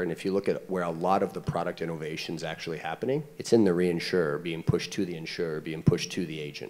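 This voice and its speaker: Speaking fairly quickly, the man has a very deep, low voice. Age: 40s. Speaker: startup CEO; panelist. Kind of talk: panel discussion. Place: stage. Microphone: handheld.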